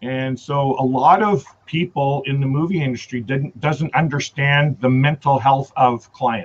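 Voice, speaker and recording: In a western Canadian accent, a somewhat breathy man with a fairly high pitch talks at a fairly slow pace with hardly any pauses and ordinary pitch variation. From Canada. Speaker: travel vlogger. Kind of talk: casual chat.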